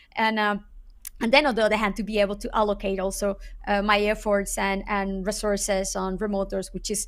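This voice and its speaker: A woman with a Spanish accent talks at a fairly quick pace in a monotone, flat intonation, the recording very clean with a silent background. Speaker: SEO consultant. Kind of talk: interview. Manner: halting, with many repeated words.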